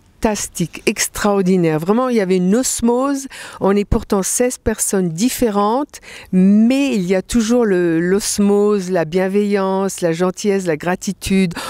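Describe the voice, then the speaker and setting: A woman talks at a fairly slow pace in a medium pitch, using a normal speaking voice with ordinary pitch variation. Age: 60s. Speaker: fasting retreat participant. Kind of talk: interview testimony. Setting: mountain retreat at 1800 m altitude.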